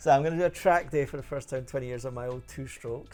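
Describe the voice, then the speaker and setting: Very fast speech with ordinary pitch variation and music in the background. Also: man. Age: 50s. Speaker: motorcycle show host. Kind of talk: casual chat.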